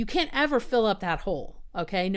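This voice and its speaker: In an American accent, a woman talks at a fairly quick pace. The recording is very clean, with a silent background. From US South. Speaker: spiritual coach and video host. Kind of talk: talk to camera. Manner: fast; animated.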